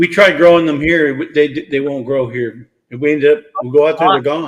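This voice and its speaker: The delivery is a normal speaking voice at a fairly quick pace, with ordinary pitch variation. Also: man. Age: 60s. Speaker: homesteader. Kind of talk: casual chat.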